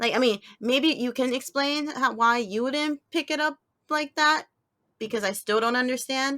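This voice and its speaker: A woman with a high, bright, sharp voice speaks up in a raised, projected way at a moderate pace with ordinary pitch variation, the sound dry and close with no echo. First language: Spanish. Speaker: podcast co-host; teacher. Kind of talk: casual chat.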